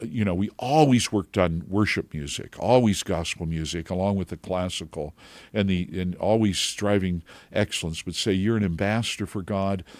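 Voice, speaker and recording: At a moderate pace, a man speaks with a very deep, low pitch and ordinary pitch variation in a very clean recording with a silent background. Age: 70s. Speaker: singer and voice teacher. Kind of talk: interview. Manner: exuberant laugh; halting.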